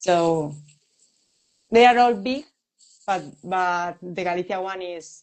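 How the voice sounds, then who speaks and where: A woman with a Spanish accent, her fairly low pitch carrying ordinary variation, at a very slow pace. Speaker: music interviewer. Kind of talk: interview. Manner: halting.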